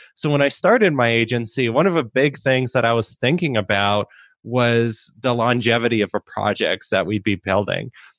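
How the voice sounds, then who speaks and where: A moderate pace and ordinary pitch variation in a plain, everyday voice. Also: man, medium pitch for a man, very even loudness. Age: 30s. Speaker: web agency owner. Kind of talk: interview.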